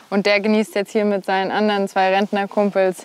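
A woman speaks in a flat monotone, the sound dry with no echo. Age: 20s. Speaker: equestrian rider and student; host showing her family's horses. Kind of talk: interview. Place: farm. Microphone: lapel.

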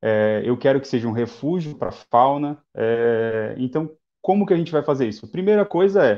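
With a plain, everyday voice, a man speaks at a moderate pace in a fairly high pitch with lively intonation against a quiet background. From Guarujá, São Paulo coast, Brazil; São Paulo, Brazil. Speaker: environmental engineer, institute founder; guest. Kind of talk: live-stream interview. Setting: online live stream. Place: home room. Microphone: video call.

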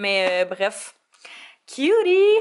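A woman speaks in a Quebec accent. Noticeable background noise runs underneath. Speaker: beauty YouTuber. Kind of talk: tutorial. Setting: home office. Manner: animated. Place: home room. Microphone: phone near.

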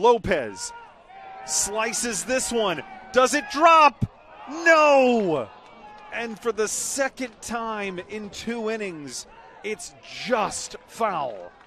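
A man's raised, projected voice at an extremely high pitch, very slow with long, frequent pauses, with a dry sound with no echo and light background noise. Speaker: sports play-by-play broadcaster. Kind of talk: baseball play-by-play call.

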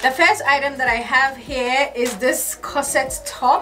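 A woman at a very slow pace, with faint music in the background. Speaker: fashion vlogger. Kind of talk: casual vlog chat. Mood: excited, cheerful. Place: home room. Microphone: camera far.

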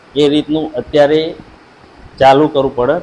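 There is noticeable background noise. A man talks through it. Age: 40s. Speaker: villager interviewee. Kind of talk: interview.

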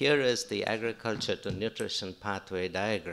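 This is a man speaking. His tone is bright and sharp. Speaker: university professor, speaker. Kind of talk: conference lecture. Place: hall. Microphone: podium.

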